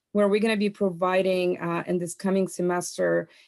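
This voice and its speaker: A woman's medium-pitched, monotone voice with flat intonation at a moderate pace, on a very clean recording with a silent background. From outside US, came as international student. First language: not English (English is third language). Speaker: chamber of commerce executive. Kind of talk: panel discussion question.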